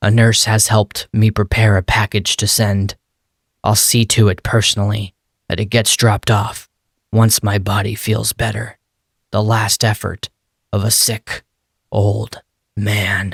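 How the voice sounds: A man's raspy put-on character voice, fairly low and monotone, at a moderate pace with long, frequent pauses.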